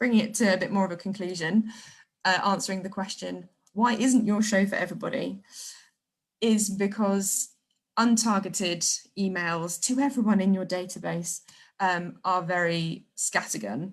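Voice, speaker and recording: A woman speaks with a somewhat breathy voice, ordinary pitch variation, and long pauses that come often. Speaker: theatre marketing director. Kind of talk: online talk / webinar. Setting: livestream video call. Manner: fast.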